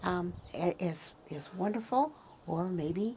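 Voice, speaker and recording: A woman's somewhat breathy voice at a medium pitch. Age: 70s. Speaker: Tesla enthusiast and community member. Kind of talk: casual interview chat. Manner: halting, many fillers and repeats.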